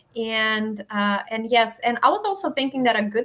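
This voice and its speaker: A woman's fairly high-pitched voice with a non-native accent. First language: not English. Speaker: educational advising webinar host. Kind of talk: webinar wrap-up. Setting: live online webinar.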